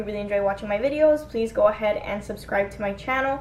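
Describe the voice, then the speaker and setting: Over light background noise, a woman talks with an American accent. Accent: slight Cuban-Miami accent on some words. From US, Miami, Florida (Cuban American); Florida. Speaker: beauty vlogger. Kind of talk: casual get-ready-with-me vlog. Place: home room. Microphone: phone near.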